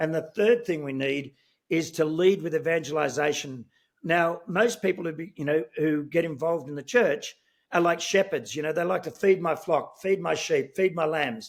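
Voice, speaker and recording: At a moderate pace and with ordinary pitch variation, the voice comes through in a very clean recording with a silent background. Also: man, fairly high pitch for a man. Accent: Australian. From Australia (Sydney). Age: 60s. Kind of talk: interview. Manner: animated, many filler words.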